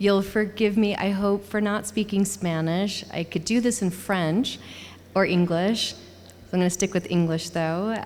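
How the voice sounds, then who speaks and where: A woman at a medium pitch and fairly slow pace, fairly even in intonation, with audible room echo. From United States. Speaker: museum curator. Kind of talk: lecture.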